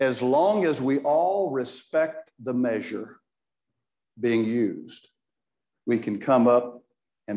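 Against a quiet background, a man's dark, mellow tone carries lively intonation. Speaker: Bible class teacher. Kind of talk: lecture. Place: church. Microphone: lapel.

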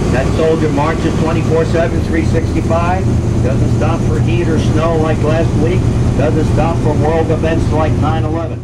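The speech moves at a very slow pace amid loud background noise. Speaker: tour guide. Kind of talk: tour guide commentary. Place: bus.

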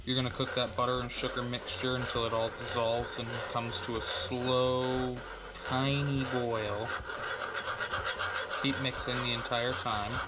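The speech is fairly slow, with long, frequent pauses. Loud noise fills the background. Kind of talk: tutorial. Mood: relaxed, friendly. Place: kitchen.

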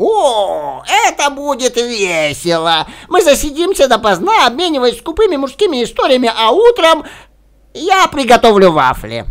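In a put-on character voice, a man speaks at an extremely high pitch with very wide pitch swings. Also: moderate pace. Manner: fast, talkative.

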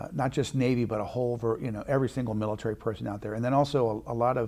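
Against a quiet background, a man with vocal fry talks very fast in fairly even intonation. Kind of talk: interview answer. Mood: warm, proud reminiscence. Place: studio. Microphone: lapel.

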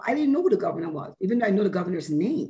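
This woman's voice is somewhat breathy. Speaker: corrections mental health professional. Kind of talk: panel discussion. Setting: video call. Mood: reflective, proud. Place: home room. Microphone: video call.

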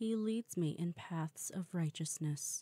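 Somewhat breathy and calm, a woman's gentle voice sits fairly low in pitch with ordinary pitch variation. She talks very slowly in a dry, close sound with no echo. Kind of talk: scripture reading. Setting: quiet, no background noise. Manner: calm, gentle.

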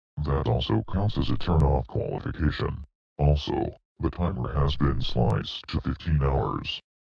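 In a put-on character voice, a man speaks at an extremely low pitch with vocal fry. His pace is fairly slow and his intonation lively.

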